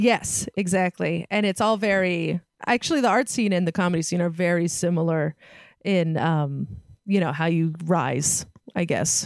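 An American accent with very even loudness and ordinary pitch variation. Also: woman, fairly low pitch for a woman, moderate pace, dry, close sound with no echo. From San Francisco Bay Area. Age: 30s. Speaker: stand-up comedian. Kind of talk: casual chat. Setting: video call.

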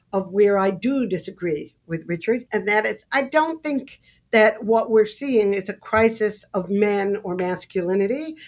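A woman speaks with an American accent in an ordinary speaking voice at medium pitch. Her pace is moderate and her pitch varies in an ordinary way. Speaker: sociology professor and author. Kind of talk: debate.

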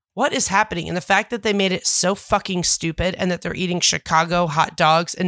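With hardly any pauses, a woman speaks in a fairly low pitch and a bright, sharp, animated tone, the sound dry and close with no echo. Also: very clean recording, silent background. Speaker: podcast co-host. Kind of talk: casual chat.

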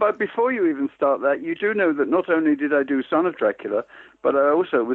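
Here a man speaks with a London accent and a fairly high pitch. His intonation is lively. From East End of London. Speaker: film editor. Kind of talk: interview. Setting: phone call.

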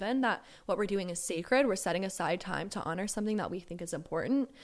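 A woman with an American accent talks very fast at a medium pitch with ordinary pitch variation, recorded very cleanly against a silent background. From US South, Georgia. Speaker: author and columnist. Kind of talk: casual interview chat.

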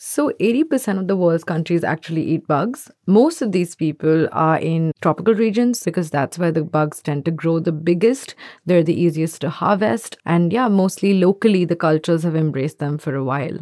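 A woman speaks at a moderate pace with hardly any pauses, her pitch fairly low with ordinary variation. Her tone is dark and mellow, in a dry, close sound with no echo. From India. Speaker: journalist. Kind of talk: interview.

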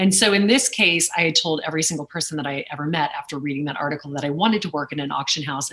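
Very deep, low pitch from a woman, with noticeable noise in the background. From Louisiana, Lake Charles. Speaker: auctioneer and business executive. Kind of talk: interview conversation.

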